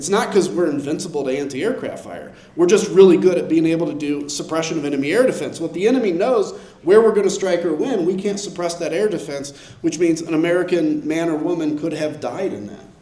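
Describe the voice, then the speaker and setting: A man talks loudly and very fast at a high pitch, with an animated tone and ordinary pitch variation. There is audible room echo and noticeable background noise. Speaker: former politician and military veteran. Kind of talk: panel discussion.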